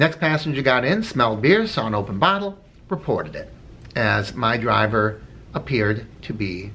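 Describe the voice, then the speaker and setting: Bright, sharp male voice with vocal fry and very wide pitch swings. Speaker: rideshare driver and video blogger. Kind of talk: casual vlog commentary. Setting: in a car. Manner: conversational, with filler words.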